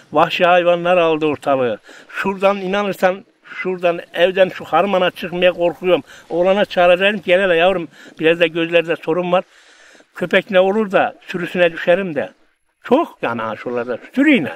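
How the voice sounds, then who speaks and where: At a high pitch, a man talks at a moderate pace with ordinary pitch variation, in a dry sound with no echo. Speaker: interviewee. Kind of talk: interview answer. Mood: nostalgic, lamenting. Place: open country.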